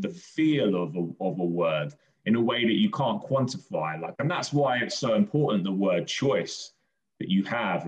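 In a southern English accent, a man speaks at a fairly slow pace with very wide pitch swings. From southern England, Brighton. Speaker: children's poet. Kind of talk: interview. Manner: casual, hesitant.

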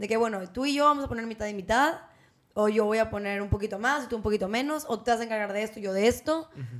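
Very fast speech from a woman, fairly high in pitch, with ordinary pitch variation. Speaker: podcast co-host. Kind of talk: casual chat.

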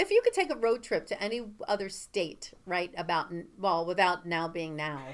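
A woman at medium pitch, moderate pace and ordinary pitch variation. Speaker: podcast co-host. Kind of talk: casual chat. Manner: loud.

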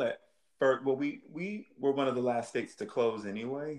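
An ordinary speaking voice with an American accent, lively intonation and a moderate pace. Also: man. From Northern Virginia. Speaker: singer and stage performer. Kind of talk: interview.

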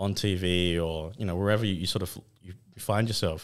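A man with an Australian accent speaks at a very deep, low pitch and a fairly quick pace. His intonation is monotone and flat, on a very clean recording with a silent background. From Western Australia, Fremantle. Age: 30s. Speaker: photographer and filmmaker. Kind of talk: casual chat. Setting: studio.

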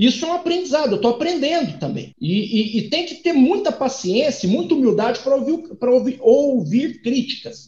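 The speech moves at a fairly quick pace with lively intonation. Music plays in the background. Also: man. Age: 30s. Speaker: economist and doctoral student. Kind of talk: interview. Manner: halting, repeats words.

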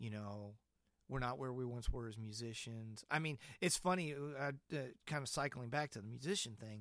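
A man's plain, everyday voice, medium in pitch with ordinary variation, at a moderate pace. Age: 50s. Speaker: podcast host and church musician. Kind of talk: casual chat. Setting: video call.

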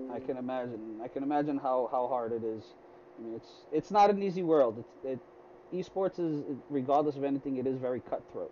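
A man talks at a very fast pace. His speech is broken by long, frequent pauses. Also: medium pitch for a man, ordinary pitch variation. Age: 30s. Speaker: podcast host. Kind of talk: casual interview. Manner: halting, many repetitions.

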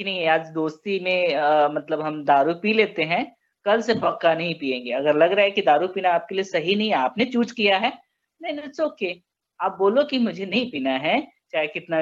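A man speaks at a moderate pace and a high pitch. His intonation is lively. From Bihar, India. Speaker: social sector fellow co-hosting a video talk. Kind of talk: casual conversation on a topic.

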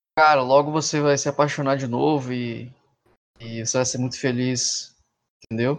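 Pausing long and often, a man speaks in a flat monotone. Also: medium pitch for a man, moderate pace. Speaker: podcast guest. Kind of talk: casual chat.

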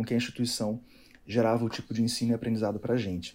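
This man has medium pitch. His tone is dark and mellow. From Rio de Janeiro state, Niterói. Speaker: physiotherapist. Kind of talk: casual chat. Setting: video call.

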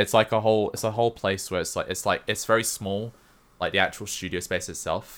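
A man with a London accent, fairly quick and monotone, with flat intonation. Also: fairly low pitch for a man. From England. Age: 20s. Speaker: Twitch streamer. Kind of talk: casual chat.

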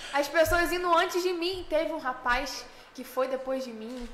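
This is a woman speaking. Her pitch shows ordinary variation. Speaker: singer, festival contestant. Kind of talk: casual interview.

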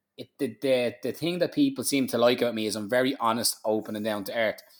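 A man speaks with a Dublin accent at a fairly quick pace. His pitch variation is ordinary. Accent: Dublin Irish. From Ireland, Dublin. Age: 30s. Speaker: barber and business owner. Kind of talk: interview. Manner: animated.

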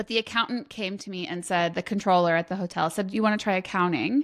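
A woman with an ordinary speaking voice talks at a fairly quick pace and medium pitch. Her pitch varies in an ordinary way, on a very clean recording with a silent background. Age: 40s. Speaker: finance and accounting consultant. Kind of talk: interview.

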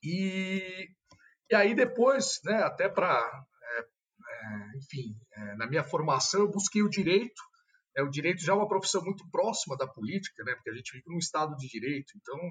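Very wide pitch swings and big swings in loudness mark a man's high-pitched voice at a moderate pace. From São Paulo, Brazil. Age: 30s. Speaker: politician. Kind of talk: casual interview.

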